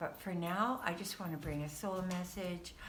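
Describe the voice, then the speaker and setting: A woman speaks in a room with audible echo, and noticeable background noise runs underneath. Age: 70s. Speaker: spiritual card reader. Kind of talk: casual spiritual monologue. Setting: at home, just woke up. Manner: hesitant, with fillers.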